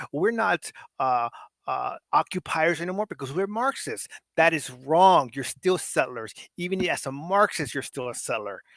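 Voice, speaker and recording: A high-pitched man at a moderate pace, in a passionate tone with very wide pitch swings. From Mexico. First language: Spanish. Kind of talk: political discussion on livestream. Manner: passionate, emphatic.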